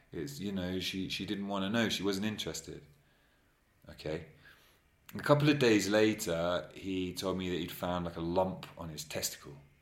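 A man talks at a moderate pace with a very deep, low pitch, ordinary pitch variation and an English accent. There is audible echo from the room. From England. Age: 30s. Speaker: anonymous interviewee. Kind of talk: casual chat. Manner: halting.

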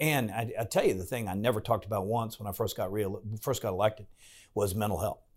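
A man with an American accent speaks at a fairly quick pace at medium pitch, with an ordinary speaking voice, in a very clean recording with a silent background. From Virginia, Farmville (Southside). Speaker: state senator. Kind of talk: interview.

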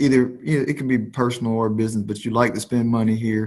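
Speaking with fairly even intonation, the man has an unremarkable speaking voice pitched in the medium range. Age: 30s. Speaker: podcast host. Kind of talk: casual interview chat.

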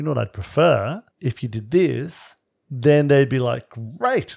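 With an Australian accent, a man speaks in a fairly high pitch with lively intonation. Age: 50s. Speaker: relationship podcast co-host. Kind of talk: casual chat. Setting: at home.

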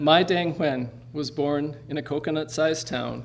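A plain, everyday voice, a man at a fairly high pitch and a moderate pace. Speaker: event host and producer. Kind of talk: stage introduction. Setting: stage with audience.

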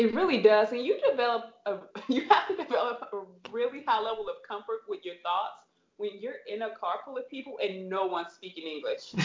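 An animated woman with an American accent, fairly high in pitch, fairly quick in pace, with big swings in loudness. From US Midwest, St. Louis, Missouri. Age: 30s. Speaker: former pro basketball player and coach. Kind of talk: casual interview. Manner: animated, laughs often.

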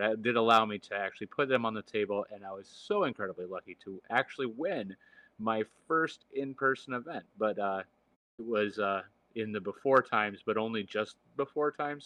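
This man speaks with a Midwestern American accent at a moderate pace. His pitch is fairly low and varies in an ordinary way. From Michigan. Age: 40s. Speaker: gaming podcast co-host. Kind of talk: casual chat.

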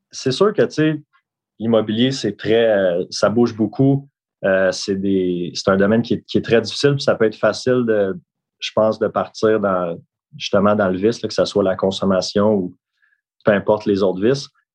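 Moderate pace from a man with fairly low pitch, ordinary pitch variation and long, frequent pauses. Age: 30s. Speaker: real estate broker. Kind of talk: interview.

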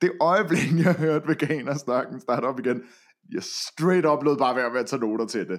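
A plain, everyday voice with lively intonation speaks at a moderate pace on a very clean recording with a silent background. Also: man, fairly high pitch for a man. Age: 20s. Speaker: podcast co-host reviewing a reality TV show. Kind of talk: casual chat.

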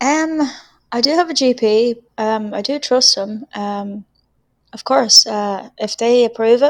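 An ordinary speaking voice with ordinary pitch variation. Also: woman. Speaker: caller. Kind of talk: casual phone conversation. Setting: phone call.

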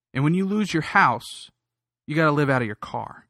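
In a very clean recording with a silent background, a man with an ordinary speaking voice, fairly high pitch and lively intonation talks at a fairly quick pace. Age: 20s. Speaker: political podcaster. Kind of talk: political commentary monologue. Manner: frequent filler words.

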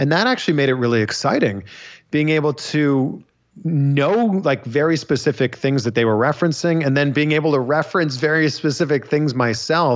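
With a Canadian accent and an unremarkable speaking voice, a man with a fairly high pitch speaks at a fairly quick pace, his loudness very even and his pitch variation ordinary, over a quiet background. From Canada, Pickering, Ontario. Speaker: wrestling interviewer. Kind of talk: casual interview chat.

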